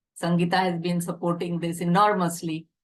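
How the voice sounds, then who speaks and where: The speaker is a woman. Her pitch is fairly low. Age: 70s. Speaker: retired medical college dean. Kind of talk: speech at a celebration event. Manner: hesitant, many uh fillers.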